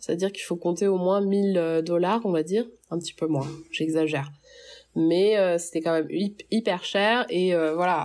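A woman speaks with a normal speaking voice at a moderate pace. Her pitch is fairly low and varies in an ordinary way. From Paris, France. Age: 30s. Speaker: French expatriate in the US. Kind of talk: testimony.

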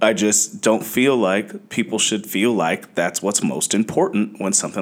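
A man with a normal speaking voice, a fairly low pitch and ordinary pitch variation. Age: 30s. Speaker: fantasy football analyst. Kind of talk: casual chat.

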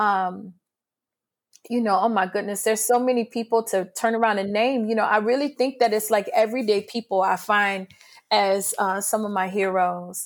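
A woman's fairly high voice in a New Orleans accent at a moderate pace, on a very clean recording with a silent background. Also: fairly even intonation, very even loudness. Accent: New Orleans Southern US. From New Orleans, Louisiana (born in Mississippi). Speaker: arts director and choreographer. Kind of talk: interview conversation.

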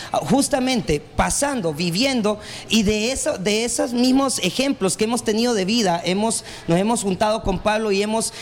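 A man's high-pitched voice with a Honduran accent and ordinary pitch variation, over noticeable background noise. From Honduras, Tegucigalpa. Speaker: radio host and political candidate. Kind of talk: casual interview.

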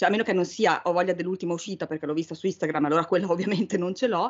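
A woman speaks at a fairly low pitch. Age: 40s. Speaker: book podcast co-host. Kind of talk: casual chat.

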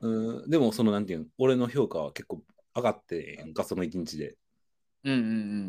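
Speaking at a fairly quick pace in a Kansai accent, a man with a dark, mellow tone is heard in a very clean recording with a silent background. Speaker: podcast co-host. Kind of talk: casual chat.

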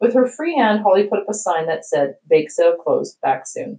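Against a quiet background, the speech is plain reading aloud.

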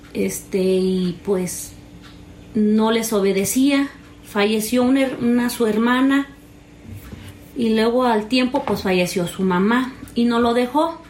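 Speaking at a very slow pace with long, frequent pauses, a woman keeps a fairly high pitch, ordinary pitch variation and very even loudness over noticeable background noise. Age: 30s. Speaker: interviewee sharing personal story. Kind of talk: personal testimony. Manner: halting, many fillers.

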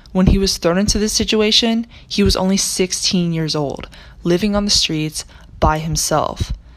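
A woman with an American accent speaks at a medium pitch and a moderate pace. Her pitch varies normally over noticeable background noise. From US South, Charlotte, North Carolina. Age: young. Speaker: college student, research intern. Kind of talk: scripted narration.

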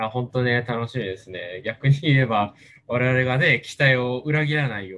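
A man's medium-pitched voice with ordinary pitch variation and big swings in loudness, at a moderate pace. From Japan, Kagoshima. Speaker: leader of a space outreach group. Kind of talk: casual interview. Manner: halting with many fillers.

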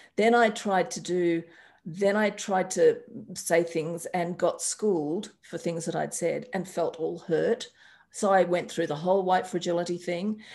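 Speaking in an Australian accent, a woman talks at a fairly slow pace and medium pitch. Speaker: astrologer and life coach. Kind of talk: interview conversation. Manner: animated.

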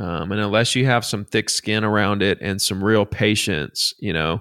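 A Southern US accent comes through on a very clean recording with a silent background and a dry, close sound that has no echo. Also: man. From Alabama. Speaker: real estate agent. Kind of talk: interview.

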